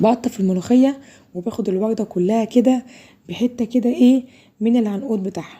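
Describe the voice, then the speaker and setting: Somewhat breathy, a woman speaks at a fairly high pitch with a dark, mellow tone. Her pace is moderate and her pitch variation ordinary. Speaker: cooking video host. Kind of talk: cooking tutorial.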